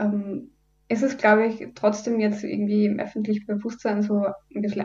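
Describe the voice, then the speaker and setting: It's a plain, everyday voice. The pace is moderate. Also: woman. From Upper Austria. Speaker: environmental volunteer, student. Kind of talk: radio interview. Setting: radio studio.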